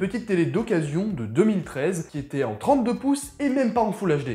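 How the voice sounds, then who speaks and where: Over music in the background, a man talks at a fairly quick pace and high pitch, with very wide pitch swings. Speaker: tech youtuber. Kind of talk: casual tech review to camera.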